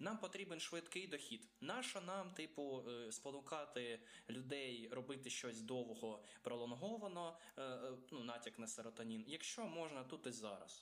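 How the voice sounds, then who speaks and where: A man with a Russian accent speaks at a medium pitch and a fairly slow pace, his loudness very even and his intonation lively. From Ukraine. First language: Russian (speaking Ukrainian). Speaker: podcast co-host. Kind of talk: casual chat.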